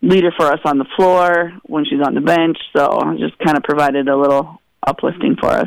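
In a normal speaking voice, a man talks at a moderate pace, his pitch fairly high with ordinary variation. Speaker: high school volleyball head coach. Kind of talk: radio interview.

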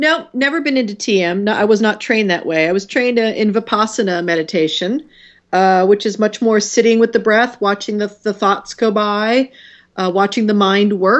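Here a woman has an ordinary speaking voice, fairly high in pitch. She keeps a moderate pace with ordinary pitch variation. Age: 50s. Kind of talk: casual interview.

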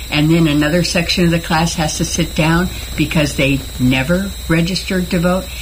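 A woman with an American accent speaks at a fairly low pitch with fairly even intonation and very even loudness, over noticeable background noise. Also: moderate pace. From Northern California. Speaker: retired teacher. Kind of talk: radio interview. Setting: studio.

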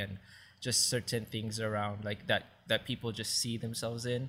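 With a Hawaiian accent, a man delivers monotone, flat lines at a medium pitch in a bright, sharp tone. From Hawaii, Maui. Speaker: church youth treasurer. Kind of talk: casual chat.

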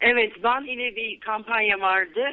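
Her fairly high voice moves at a fairly slow speed, with pitch varying in a normal way. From Turkey, Izmir. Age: 40s. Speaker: English teacher and activist. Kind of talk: radio interview. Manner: hesitant with many fillers.

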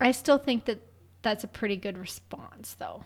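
A woman speaks at a moderate pace in a fairly high pitch. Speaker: podcast co-host. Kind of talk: casual chat. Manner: loud.

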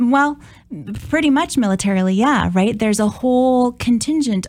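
A somewhat breathy woman's voice with an American accent at a moderate pace. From Minnesota, US Midwest. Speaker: political science professor. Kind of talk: interview.

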